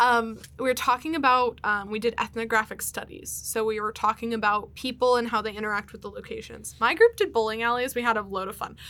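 A woman with an American accent talks at a very fast pace with hardly any pauses, her fairly high, bright, sharp voice showing ordinary pitch variation and big swings in loudness. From Pennsylvania, US. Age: 20s. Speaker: podcast guest. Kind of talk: casual chat. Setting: studio.

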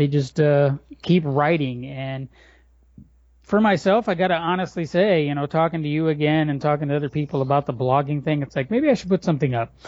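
A plain, everyday voice from a fairly high-pitched man, fairly quick, with ordinary pitch variation. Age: 40s. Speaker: blogger and writer. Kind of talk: casual chat. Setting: home garage.

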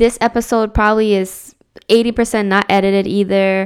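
In an animated tone, a woman talks at a fairly high pitch and a fairly slow pace on a very clean recording with a silent background. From New Jersey (born in Dominican Republic). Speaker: podcast host with a doctorate. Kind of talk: solo podcast monologue. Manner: casual and animated.

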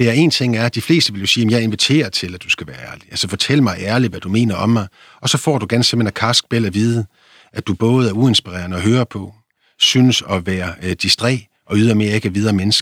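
A man talks at a very fast pace with a medium pitch, recorded very cleanly against a silent background with a dry, close sound and no echo. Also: ordinary pitch variation. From Denmark, Vendsyssel (North Jutland). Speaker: philosopher and author. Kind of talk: interview.

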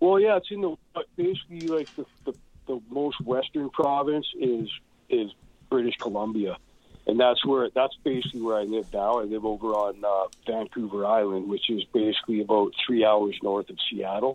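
Speaking with a western Canadian accent, a man uses lively intonation. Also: medium pitch for a man, moderate pace. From Canada, Edmonton area, Alberta. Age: 40s. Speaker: punk drummer and author. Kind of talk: casual chat.

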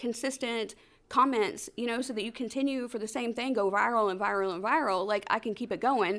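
A high-pitched woman with an American accent speaks at a moderate pace with ordinary pitch variation, recorded very cleanly against a silent background. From Georgia, US (metro Atlanta). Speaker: brand and marketing consultant. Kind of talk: interview. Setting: studio.

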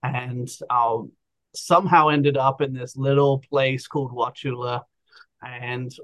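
A man speaks with an English accent at a medium pitch. His delivery is monotone and flat. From England. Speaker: outdoor adventure business owner. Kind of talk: casual interview chat. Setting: video call.

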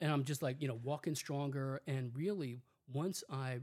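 A man speaks at a fairly high pitch, his voice somewhat breathy and his pitch variation ordinary. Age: 60s. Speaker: psychologist. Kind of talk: interview.

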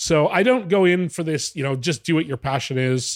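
A man at a moderate pace with ordinary pitch variation, in a dry, close sound with no echo. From Western Canada. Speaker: business consultant. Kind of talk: interview.

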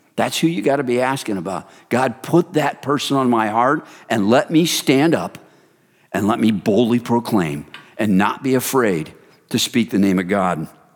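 On a very clean recording with a silent background, a man speaks at a moderate pace in a plain, everyday voice, medium in pitch with lively intonation. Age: 50s. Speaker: men's ministry founder and speaker. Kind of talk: sermon.

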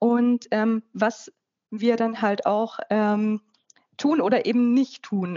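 Her pitch is fairly high. The voice belongs to a woman. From Upper Franconia, northern Bavaria. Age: 40s. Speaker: life coach and author. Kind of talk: interview.

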